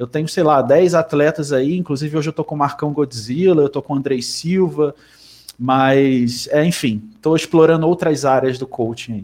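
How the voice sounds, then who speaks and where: At a moderate pace, a man with a fairly high pitch and ordinary pitch variation talks in a plain, everyday voice. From Rio de Janeiro, Brazil. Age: 30s. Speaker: bodybuilding coach. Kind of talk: casual chat.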